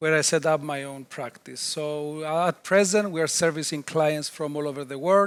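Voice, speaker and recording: A man at a fairly high pitch and moderate pace, fairly even in intonation, on a very clean recording with a silent background. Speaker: chartered accountant. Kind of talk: interview answers. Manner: loud.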